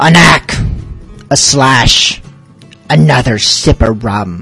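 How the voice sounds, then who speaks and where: A man's put-on character voice at a medium pitch, very slow, with faint music in the background. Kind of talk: piratey voice.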